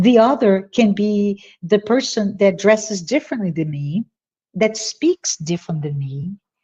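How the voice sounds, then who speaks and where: With a Portuguese accent, a woman speaks at a fairly slow pace in a dark, mellow, somewhat breathy tone with lively intonation, recorded dry and close with no echo. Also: medium pitch for a woman. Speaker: spiritist speaker. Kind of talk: virtual talk Q&A.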